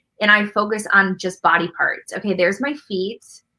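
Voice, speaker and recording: A loud woman speaks at a medium pitch and a moderate pace, her tone bright and sharp. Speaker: artist. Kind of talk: interview.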